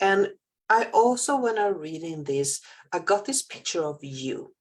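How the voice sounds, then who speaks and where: Speaking with a Swedish accent, a woman talks at a fairly slow pace. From Sweden. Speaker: spiritual healer and channeler. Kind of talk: casual chat. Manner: halting.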